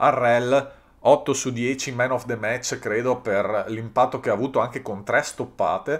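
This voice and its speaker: This man's voice sits at a medium pitch and moves at a fairly slow pace. The recording is very clean and the background silent. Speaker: sports YouTuber. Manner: animated, energetic.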